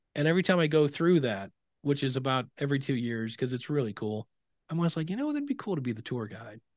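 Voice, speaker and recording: Against a quiet background, a man with an American accent talks very fast at a fairly high pitch with lively intonation. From Ohio, US Midwest (Akron). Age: 50s. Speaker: podcasting educator. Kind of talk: interview conversation.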